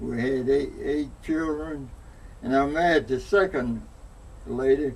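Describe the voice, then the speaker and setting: With an Alabama accent, a man speaks at a fairly slow pace. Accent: Southern US (Alabama). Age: 90s. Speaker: elderly interviewee. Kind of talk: oral history interview. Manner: halting.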